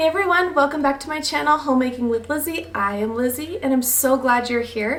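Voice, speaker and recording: A woman talks fairly quickly in a high voice, with noticeable background noise. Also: ordinary pitch variation. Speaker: homemaking vlogger, stay-at-home mom. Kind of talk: casual decorating vlog. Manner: friendly, chatty.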